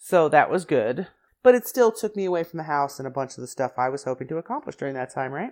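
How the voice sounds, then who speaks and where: Talking at a very fast pace, a woman with a very deep, low pitch makes very wide pitch swings against a quiet background. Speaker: craft podcast host. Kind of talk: casual solo monologue. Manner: chatty.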